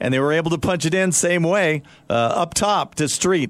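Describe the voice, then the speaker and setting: In an ordinary speaking voice, a man with a fairly high pitch speaks with lively intonation. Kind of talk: live radio sports show anchoring with game updates and score reports. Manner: relaxed, conversational, filler-heavy, chatty.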